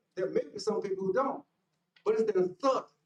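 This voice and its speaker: Loud and with lively intonation, a man speaks with an American accent. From Lake City, Florida. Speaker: public commenter at council meeting. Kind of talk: public comment speech. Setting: council chamber. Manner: animated.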